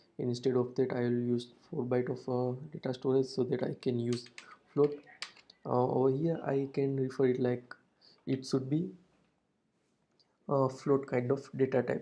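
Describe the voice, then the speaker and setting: With an Indian accent, a man speaks in a dark, mellow tone at a medium pitch and a moderate pace, his intonation monotone and flat. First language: Hindi. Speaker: programming tutor. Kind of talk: tutorial. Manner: hesitant with frequent uh fillers.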